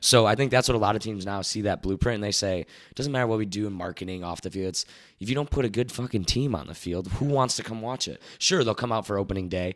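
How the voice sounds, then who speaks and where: A man talks at a very fast pace with a fairly low pitch and ordinary pitch variation. The recording is very clean, with a silent background. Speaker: baseball insider who worked for a baseball team. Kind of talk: casual chat.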